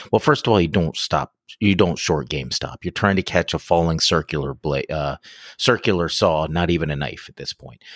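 Over a very clean recording with a silent background and a dry, close sound with no echo, a man speaks at a fairly quick pace with vocal fry, a very deep, low pitch and ordinary pitch variation. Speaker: podcast co-host. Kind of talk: casual chat.

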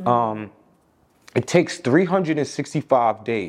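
The voice carries a New York accent. Its pitch swings very widely. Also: man. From Long Island, New York (Amityville). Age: 40s. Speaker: personal fitness trainer. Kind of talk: interview, casual conversation.

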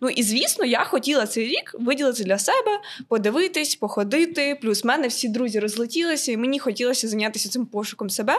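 A woman's high, lively voice at a fairly quick pace, over noticeable background noise. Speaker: university student and florist. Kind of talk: casual chat.

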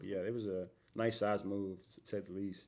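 In an American accent, the speaker has a dark, mellow tone and talks at a moderate pace with monotone, flat intonation. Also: man. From Houston, Texas. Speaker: moving company owner. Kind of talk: casual interview. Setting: studio.

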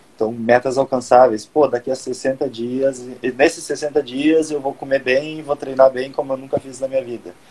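Speaking at a moderate pace in a medium pitch, a man keeps a monotone, flat intonation while his loudness swings widely. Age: 20s. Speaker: podcast host and personal trainer. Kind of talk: casual chat. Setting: live stream on Instagram.

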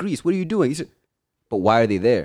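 A man's voice with very wide pitch swings, on a very clean recording with a silent background. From Zimbabwe. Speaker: podcast co-host. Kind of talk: casual chat.

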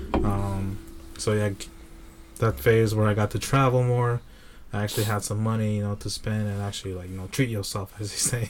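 Over noticeable background noise, a man talks at a fairly quick pace in a fairly low pitch. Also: fairly even intonation. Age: 30s. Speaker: associate director at an organization. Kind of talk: casual chat.

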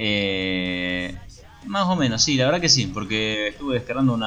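In a Rioplatense accent, a man speaks at a fairly low pitch with ordinary pitch variation, and audible room echo surrounds him. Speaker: podcast co-host. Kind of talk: casual chat.

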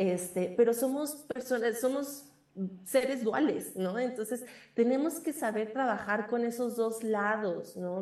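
Here a woman has an unremarkable speaking voice, fairly high in pitch with ordinary pitch variation. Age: 20s. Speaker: witch and magic practitioner. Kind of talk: interview. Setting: remote call.

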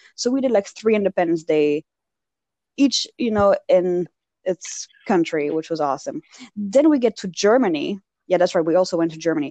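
A woman speaks at a medium pitch with a Parisian French accent, at a moderate pace and in an animated tone with very wide pitch swings. The sound is dry and close, with no echo. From Belgium, raised in France (Paris). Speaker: podcast co-host. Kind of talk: casual chat. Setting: remote call.

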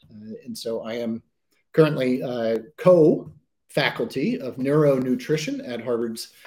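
Dark, mellow tone, its pitch varying in an ordinary way. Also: man. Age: 40s. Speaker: chef and author. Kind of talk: online presentation. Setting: home kitchen studio, online event.

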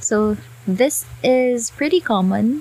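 This is a woman talking. Her voice is somewhat breathy. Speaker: podcast host. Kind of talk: casual explanatory monologue.

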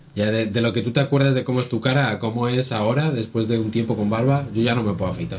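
Noticeable background noise fills the clip. Over it, a man races through his words very fast. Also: medium pitch for a man, fairly even intonation, hardly any pauses. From Spain. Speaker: podcast co-host. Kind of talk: casual chat.

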